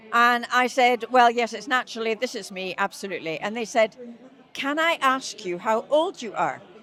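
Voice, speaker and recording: Music plays in the background as a woman speaks at a moderate pace. Her high voice has lively intonation. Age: 70s. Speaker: charity climber. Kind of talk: anecdote in interview. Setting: event venue with crowd.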